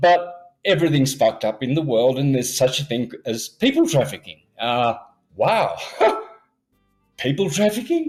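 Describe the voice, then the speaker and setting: Music plays behind a man with a fairly high pitch and lively intonation. He keeps a moderate pace but takes long, frequent pauses. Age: 60s. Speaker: conspiracy theorist guest. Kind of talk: podcast interview. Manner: animated.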